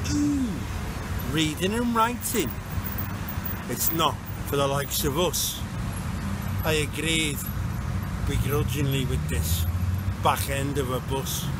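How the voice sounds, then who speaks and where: Loud background noise surrounds a man who speaks at a very slow pace. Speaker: spoken word poet and groundworker. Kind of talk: spoken word poetry performance, rhymed verse. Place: street. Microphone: phone near.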